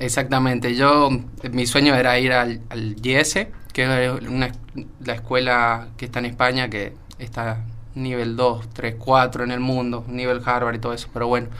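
With audible room echo around him, a man speaks fairly slowly at medium pitch in a bright, sharp tone and a monotone, flat intonation. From Argentina, San Juan. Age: 20s. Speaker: young industrial engineer. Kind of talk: radio interview.

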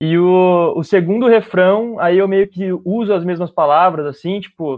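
Here a man speaks at a moderate pace with a high pitch. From Bauru, interior of São Paulo state, Brazil. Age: 20s. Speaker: musician and music producer. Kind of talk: casual interview chat.

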